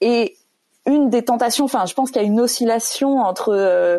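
A woman speaks at a moderate pace with a high pitch. Her pitch variation is ordinary. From France. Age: 30s. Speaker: evangelization organization director. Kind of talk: panel discussion. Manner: hesitant, many fillers.

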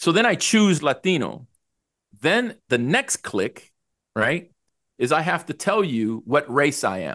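Against a quiet background, a man with a fairly high pitch and vocal fry speaks at a fairly slow pace. His pitch swings very widely, and he takes long, frequent pauses. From El Salvador. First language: Spanish. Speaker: HR executive. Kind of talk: interview.

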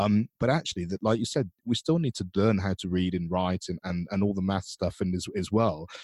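A man's unremarkable speaking voice, fairly low in pitch with ordinary pitch variation, moving at a fairly quick pace with hardly any pauses in a dry, close sound with no echo. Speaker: podcast host; professional musician. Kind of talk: interview, podcast intro and outro.

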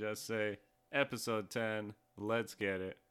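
The speaker is a man with an unremarkable speaking voice, medium in pitch, moving at a fairly slow pace. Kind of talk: casual chat. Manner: joking.

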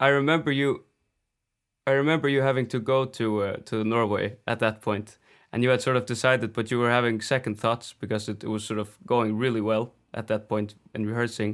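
Fairly even in intonation, the man moves at a fairly quick pace. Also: medium pitch for a man, very clean recording, silent background. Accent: Faroese. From Faroe Islands. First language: Faroese. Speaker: folk singer. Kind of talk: interview.

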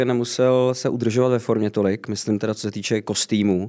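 In a dark, mellow tone, a man talks at a moderate pace with ordinary pitch variation. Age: 30s. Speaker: singer in a tribute band. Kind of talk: interview.

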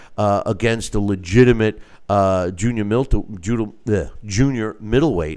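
A man speaks at a medium pitch and moderate pace with ordinary pitch variation. The recording is very clean, with a silent background. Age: 60s. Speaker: boxing show host and manager. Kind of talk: solo live show commentary. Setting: studio, live stream. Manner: halting, many fillers and repeats.

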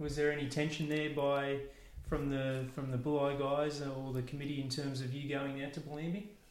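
Over noticeable background noise, a man speaks at a moderate pace in a fairly high pitch with monotone, flat intonation. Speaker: podcast host and interviewer. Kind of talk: interview, conversational. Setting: interviewee's home.

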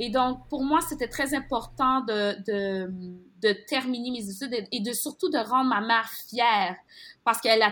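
A moderate pace and ordinary pitch variation on a very clean recording with a silent background. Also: woman. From Montreal, Quebec (born in Haiti). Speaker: journalist. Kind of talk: interview. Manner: animated.

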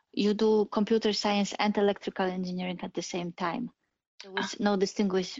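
Medium-pitched woman with a Polish accent at a fairly quick pace. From Poland. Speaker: AI and autonomous driving engineer. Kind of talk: interview.

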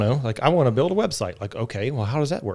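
Lively in intonation, a man with a plain, everyday voice and an American accent speaks at medium pitch on a very clean recording with a silent background. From West Virginia. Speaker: DevOps engineer. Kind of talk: casual chat.

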